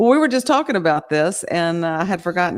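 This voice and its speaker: On a very clean recording with a silent background, a woman speaks in a fairly low voice with a Southern Louisiana accent. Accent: Southern Louisiana twang. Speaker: podcast co-host. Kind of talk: casual chat; reading aloud.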